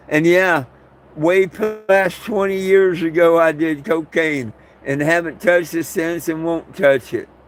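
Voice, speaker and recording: This man's voice sits high. He takes his time at a fairly slow pace. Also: ordinary pitch variation. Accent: American. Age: 60s. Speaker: cannabis legalization activist livestreamer. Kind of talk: livestream talk to chat. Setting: camping. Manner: animated.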